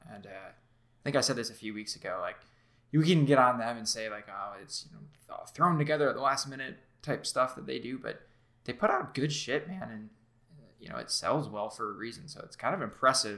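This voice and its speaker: An unremarkable speaking voice from a man at medium pitch, with ordinary pitch variation, big swings in loudness and a fairly quick pace. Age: 20s. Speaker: video game podcast co-host. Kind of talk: casual chat.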